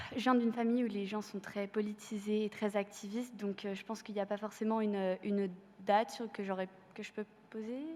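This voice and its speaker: A woman speaks fairly quickly at a fairly high pitch, monotone and flat. Noticeable background noise runs underneath. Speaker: student activist. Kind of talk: panel testimony. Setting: university amphitheatre with audience. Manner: hesitant, many fillers.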